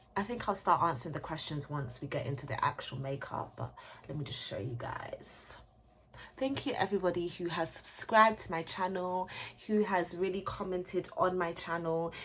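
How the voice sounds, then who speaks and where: This woman's fairly low voice carries an animated tone and lively intonation. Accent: British. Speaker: beauty YouTuber. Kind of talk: casual chat. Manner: fast.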